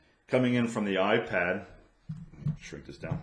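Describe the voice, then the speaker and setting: Audible echo from the room surrounds a man who speaks at a moderate speed, his pitch varying in an ordinary way. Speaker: podcaster. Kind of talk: tutorial. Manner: hesitant, many ums. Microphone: USB condenser mic with room echo.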